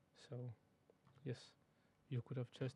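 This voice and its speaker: Dark and mellow in tone, a man speaks in a somewhat breathy way. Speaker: maths teacher. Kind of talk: tutorial. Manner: fast.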